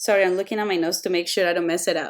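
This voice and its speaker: On a very clean recording with a silent background, a woman speaks with a strong non-native accent and fairly even intonation. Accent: thick non-native. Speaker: photo retoucher. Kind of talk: tutorial. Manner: hesitant, many fillers.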